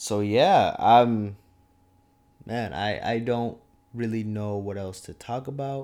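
In a very clean recording with a silent background, a man with an American accent speaks at a very slow pace and medium pitch, with long, frequent pauses, big swings in loudness and ordinary pitch variation. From Minnesota. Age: 20s. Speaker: podcast host, student. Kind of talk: casual monologue. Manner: animated.

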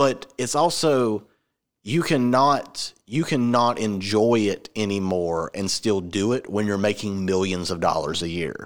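A man with an American accent speaks at a fairly slow pace in an ordinary speaking voice, fairly low in pitch with lively intonation, on a very clean recording with a silent background. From Georgia, US. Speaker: podcast host. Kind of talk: casual chat. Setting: same room as co-host.

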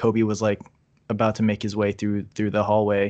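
Against a quiet background, a man with an American accent and an ordinary speaking voice talks fairly quickly at a fairly low pitch. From Virginia, US. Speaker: toy photographer. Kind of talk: casual chat.

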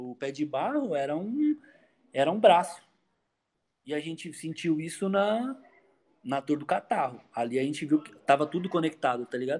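A man talks at a fairly high pitch and a moderate pace, with lively intonation. His loudness swings widely, and he takes long, frequent pauses. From Poá, greater São Paulo, Brazil. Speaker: rapper, former hardcore musician. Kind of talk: casual chat.

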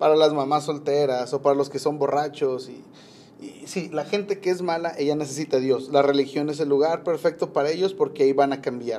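Moving at a fairly quick pace, a man with a fairly high pitch and a dark, mellow tone keeps his intonation fairly even. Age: 30s. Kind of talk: casual devotional talk. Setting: rooftop. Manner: halting.

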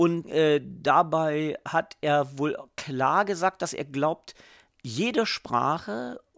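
A man speaks with a fairly high pitch. The recording is very clean, with a silent background, and the sound is dry and close with no echo. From southern Lower Saxony, northern Germany. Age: 40s. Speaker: TV journalist. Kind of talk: casual chat. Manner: halting, many fillers.

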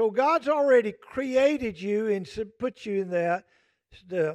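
Against a quiet background, a man with a Southern US accent speaks at a high pitch and a moderate pace with lively intonation, the sound dry and close with no echo. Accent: US South. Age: 60s. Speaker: pastor. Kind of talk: sermon. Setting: church. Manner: folksy conversational.

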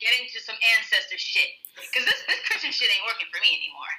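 Over noticeable background noise, a raised, projected voice speaks at a very fast pace. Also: woman. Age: 30s. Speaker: guest sharing personal story of religious deconstruction. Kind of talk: casual interview conversation.

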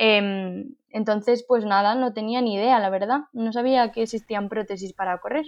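A woman with a normal speaking voice, a fairly high pitch, fairly even intonation and a moderate pace. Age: 20s. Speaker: paralympic athlete and speaker. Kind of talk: interview.

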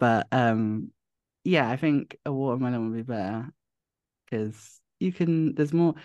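A man's medium-pitched voice, fairly slow and broken by long, frequent pauses, with ordinary pitch variation and a dry, close sound with no echo. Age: 20s. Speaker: young person in supported housing. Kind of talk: interview.

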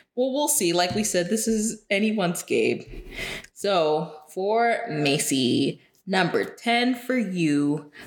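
A woman's very slow speech with lively intonation. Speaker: podcast co-host. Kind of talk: casual chat.

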